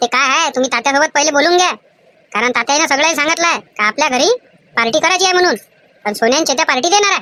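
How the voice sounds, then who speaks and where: A woman performs a cartoonish character voice at a high pitch. Her intonation is lively and her pace fairly quick. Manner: teasing, doubtful.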